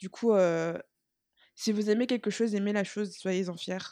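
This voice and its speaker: A woman speaks very slowly in a dark, mellow tone with fairly even intonation. The recording is very clean, with a silent background. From Martinique. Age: 20s. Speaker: student and K-pop fan. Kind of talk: casual chat.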